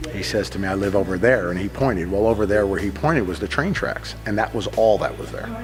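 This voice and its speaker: Talking at a very fast pace with hardly any pauses, a man with an American accent uses lively intonation over noticeable background noise. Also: fairly low pitch for a man. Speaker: gym owner and strength coach. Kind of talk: testimonial interview.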